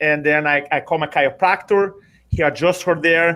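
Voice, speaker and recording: The recording is very clean, with a silent background. A man speaks at a fairly high pitch. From Brazil. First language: Portuguese. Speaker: public speaking coach. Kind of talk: interview. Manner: animated.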